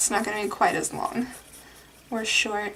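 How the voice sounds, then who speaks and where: A soft-spoken woman talks at a fairly quick pace against noticeable background noise. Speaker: art youtuber. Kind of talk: drawing tutorial. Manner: casual, rambling with fillers.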